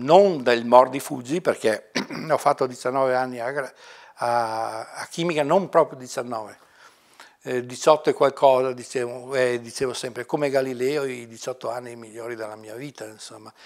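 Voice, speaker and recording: Against a quiet background, a man talks at a very slow pace with big swings in loudness. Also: medium pitch for a man, fairly even intonation. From Italy, Mantua province (Lombardy); Lombardy, Italy. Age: 60s. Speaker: retired university librarian. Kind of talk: oral history interview. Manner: halting, many fillers. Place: office.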